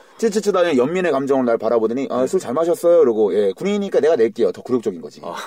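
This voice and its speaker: Over noticeable background noise, a man with fairly high pitch speaks at a very fast pace with an animated tone, very wide pitch swings and hardly any pauses. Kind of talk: casual banter podcast. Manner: animated, joking.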